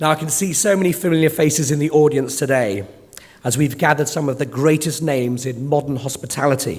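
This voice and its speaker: A man talks at a very fast pace with a fairly high pitch. His pitch varies in an ordinary way over noticeable background noise. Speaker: conference chair. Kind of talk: conference opening speech. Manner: formal.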